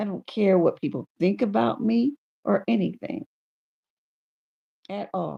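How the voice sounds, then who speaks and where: An animated woman's voice with a dry, close sound and no echo. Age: 60s. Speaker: YouTube livestreamer. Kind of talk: casual livestream monologue.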